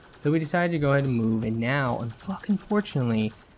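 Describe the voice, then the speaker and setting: With music behind him, a man delivers his words fairly briskly. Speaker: gaming youtuber. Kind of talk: casual vlog talk. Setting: home recording in new apartment. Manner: casual, profane.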